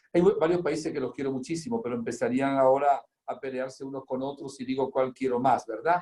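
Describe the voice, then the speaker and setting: Pitched fairly high for a man, his voice has a dark, mellow tone and hardly any pauses. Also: ordinary pitch variation, fairly quick pace. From Spain, province of Zamora, then Venezuela from age 17. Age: 70s. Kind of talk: religious teaching in an interview; interview answers about his life.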